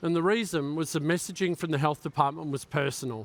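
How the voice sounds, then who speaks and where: A man with an Australian accent talks at a fairly quick pace and a fairly high pitch with ordinary pitch variation, recorded very cleanly with a silent background and a dry, close sound with no echo. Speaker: cybersecurity conference speaker. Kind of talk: keynote talk.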